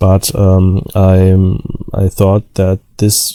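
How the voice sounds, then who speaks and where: A man with a German accent speaks at a fairly low pitch in a dry, close sound with no echo. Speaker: DIY electronics repair youtuber. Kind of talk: tutorial. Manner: halting, many fillers.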